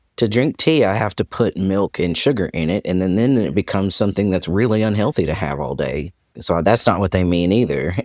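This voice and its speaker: A man speaks with a very deep, low pitch at a fairly quick pace, with hardly any pauses. The recording is very clean, with a silent background. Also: lively intonation. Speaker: podcast co-host. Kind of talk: casual chat.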